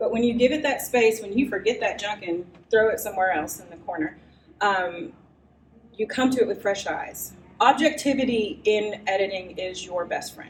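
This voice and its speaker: At a moderate pace, a woman with a fairly high pitch talks with lively intonation and big swings in loudness. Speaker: writing workshop presenter. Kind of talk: live workshop lecture. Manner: animated.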